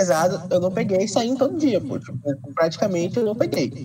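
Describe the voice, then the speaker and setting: Noticeable background noise behind a man with a high pitch and very wide pitch swings at a moderate pace. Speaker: podcast host. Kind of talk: casual chat.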